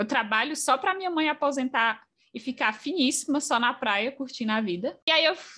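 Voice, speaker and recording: A woman speaks in a raised, projected voice with a high pitch. Her intonation is lively, and her pace is moderate. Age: 20s. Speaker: mobile software engineer. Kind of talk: casual interview.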